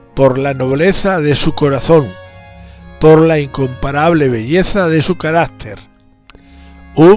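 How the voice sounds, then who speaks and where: Music plays in the background as a man speaks at a very slow pace. His voice sits fairly high. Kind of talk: historical narration.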